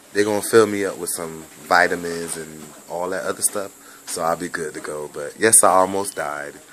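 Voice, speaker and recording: Over noticeable background noise, a man with a very deep, low pitch speaks at a moderate pace, fairly even in intonation but with big swings in loudness. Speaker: vlogger. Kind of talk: casual video message.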